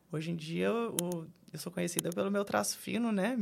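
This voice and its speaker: A woman's fairly low voice with vocal fry, lively intonation and a fairly quick pace. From Brazil, São Paulo state interior. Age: 30s. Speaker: tattoo artist. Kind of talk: casual chat.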